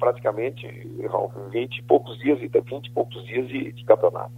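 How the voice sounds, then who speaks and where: There is noticeable background noise as a man speaks in a monotone, flat intonation with big swings in loudness. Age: 60s. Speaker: football coach. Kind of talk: radio phone interview. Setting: phone call.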